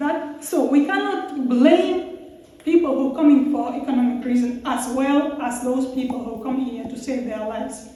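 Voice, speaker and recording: Speaking at a fairly slow pace, a woman with a high-pitched voice and ordinary pitch variation is heard over noticeable background noise and audible room echo. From Russia. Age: 40s. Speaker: former asylum seeker, panel speaker. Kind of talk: public talk at debate event. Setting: event with audience. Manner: halting.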